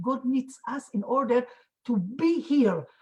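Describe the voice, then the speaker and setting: Lively in intonation, a woman's voice comes across somewhat breathy. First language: not English. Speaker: Torah teacher, conference panelist. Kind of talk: panel discussion. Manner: halting, many repetitions and fillers.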